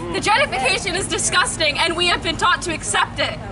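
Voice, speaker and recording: Over noticeable background noise, a woman with an American accent uses a raised, projected voice at an extremely high pitch. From Peekskill, New York. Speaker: rally speaker. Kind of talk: protest speech. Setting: outdoor rally.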